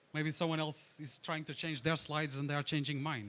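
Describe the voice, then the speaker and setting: A man speaks with a Portuguese accent at a fairly high pitch. His tone is bright and sharp. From Portugal. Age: 30s. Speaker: conference speaker, DevOps engineer. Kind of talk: tech conference talk. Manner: hesitant, many fillers.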